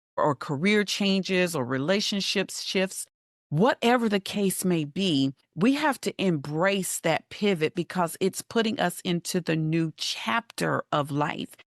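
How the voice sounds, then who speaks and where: A woman with an unremarkable speaking voice and an American accent talks at a fairly slow pace in a fairly low pitch with lively intonation. The recording has a quiet background and a dry, close sound with no echo. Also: very even loudness. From Western North Carolina. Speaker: life coach. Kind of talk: podcast interview.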